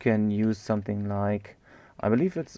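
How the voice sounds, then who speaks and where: In a German accent, a man speaks at a moderate pace with a dark, mellow tone over a quiet background. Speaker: game development tutor, live streamer. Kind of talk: live-streamed coding tutorial. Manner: casual, thinking aloud with many fillers.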